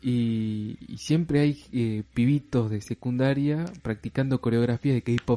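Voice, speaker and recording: With a dark, mellow tone and ordinary pitch variation, a man speaks at a very slow pace. He leaves hardly any pauses. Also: medium pitch for a man, dry, close sound with no echo. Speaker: podcast co-host. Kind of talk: casual chat.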